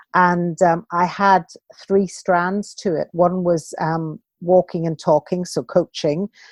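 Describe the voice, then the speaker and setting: A woman speaks with a British accent at a very slow pace. Her fairly low voice has a monotone, flat intonation. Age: 60s. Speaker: walking coach and author. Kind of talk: podcast interview.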